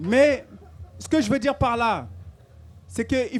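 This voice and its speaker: A fairly slow pace on a very clean recording with a silent background. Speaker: activist speaker. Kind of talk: public talk. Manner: hesitant with repetitions.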